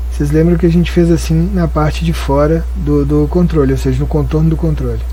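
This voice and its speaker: A man talks at a fairly quick pace with a very deep, low pitch and fairly even intonation. His loudness stays very even despite noticeable background noise. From Brazil, Minas Gerais. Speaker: design tutorial creator. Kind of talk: tutorial. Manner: casual, explanatory.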